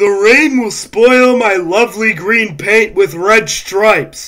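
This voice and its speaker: This man uses a put-on character voice pitched high, moving at a fairly slow pace. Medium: read story. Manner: fussy, petulant.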